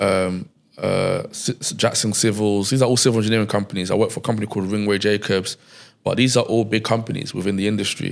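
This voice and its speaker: A man's very fast, monotone delivery with flat intonation, fairly low in pitch, with a London accent, on a very clean recording with a silent background. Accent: London English (multicultural London). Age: 30s. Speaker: entrepreneur, media company founder. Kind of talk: casual interview conversation.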